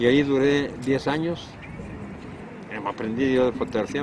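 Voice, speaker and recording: A man speaks at a moderate pace with fairly even intonation while music plays in the background. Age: 80s+. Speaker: retired photographer, supermarket worker. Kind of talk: documentary interview answer. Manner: nostalgic.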